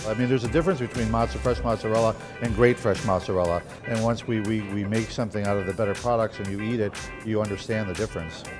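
Over clear music in the background, a man talks at a very fast pace in a fairly low voice with ordinary pitch variation. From Detroit, Michigan. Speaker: executive chef. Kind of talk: cooking demonstration to camera. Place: bar. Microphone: lapel.

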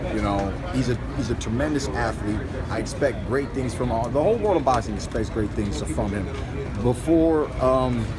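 Loud background noise behind a man talking at a moderate speed. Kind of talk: interview answer. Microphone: phone near.

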